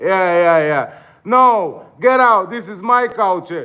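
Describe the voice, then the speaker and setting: On a very clean recording with a silent background, a man with a high pitch uses a raised, projected voice with an animated, bright, sharp tone and ordinary pitch variation. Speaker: dance instructor live-streaming. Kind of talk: casual livestream chat reacting to comments.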